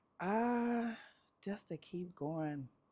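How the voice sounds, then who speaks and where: The recording is very clean and the background is silent. A woman's intonation is lively throughout. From Detroit, US. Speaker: businesswoman. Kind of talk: interview.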